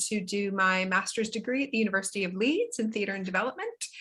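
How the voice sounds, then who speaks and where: Very fast and bright, sharp in tone, a woman speaks at a medium pitch with ordinary pitch variation. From Canada, prairies (Winnipeg). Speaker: performance poet. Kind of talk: casual interview chat.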